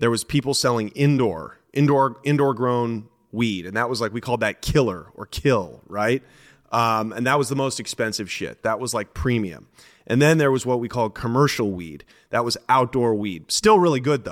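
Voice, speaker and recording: A man with a West Coast accent, medium pitch and ordinary pitch variation at a moderate pace, on a very clean recording with a silent background. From Portland, Oregon. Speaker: former drug dealer and comedian. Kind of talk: interview storytelling.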